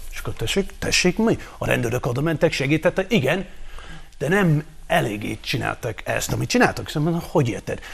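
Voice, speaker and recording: With very wide pitch swings and vocal fry, a man speaks at a fairly high pitch and a fairly quick pace. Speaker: panelist. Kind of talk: casual banter on a TV talk show.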